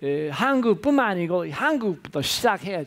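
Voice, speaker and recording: Speaking very slowly, a man with a non-native accent uses lively intonation. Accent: foreign accent in Korean. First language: English (speaking Korean). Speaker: professor. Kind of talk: lecture. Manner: halting, many filler sounds.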